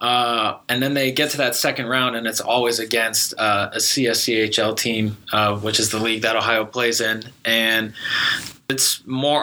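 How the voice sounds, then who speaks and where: Against noticeable background noise, a man speaks slowly in a flat monotone, his pace fairly slow. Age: young. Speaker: student sports podcast host. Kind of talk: casual chat.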